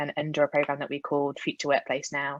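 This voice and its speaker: Speaking at a very fast pace, a woman with a very deep, low pitch comes through in a dry, close sound with no echo and a quiet background. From UK. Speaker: HR executive. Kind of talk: panel discussion.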